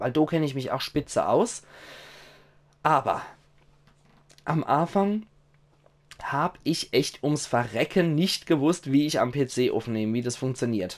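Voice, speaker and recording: A man talks at a moderate pace with lively intonation and a fairly high pitch. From Germany. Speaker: gaming video creator. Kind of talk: casual monologue to viewers. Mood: cheerful, grateful. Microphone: headset.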